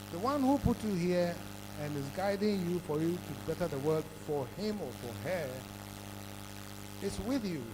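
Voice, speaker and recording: With audible room echo, a man with a fairly high voice speaks at a moderate pace, swinging very widely in pitch and leaving long, frequent pauses. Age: 70s. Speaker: conference speaker, author. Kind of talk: conference talk.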